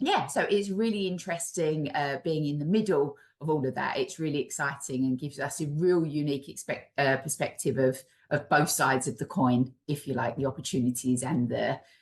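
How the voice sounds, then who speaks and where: A woman in an East London accent talks at a fairly quick pace, her pitch very deep and low, with ordinary pitch variation. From East London, England. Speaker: charity chief executive. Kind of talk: webinar interview.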